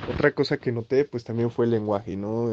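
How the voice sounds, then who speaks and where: This man speaks at a medium pitch. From Mexico, Xalapa, Veracruz. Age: 20s. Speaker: chemist. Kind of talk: interview. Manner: halting.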